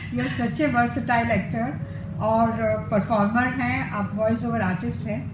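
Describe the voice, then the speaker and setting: A woman's pitch swings very widely as she speaks at a moderate pace over noticeable background noise. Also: medium pitch for a woman. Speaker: talk show host. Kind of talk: interview questions.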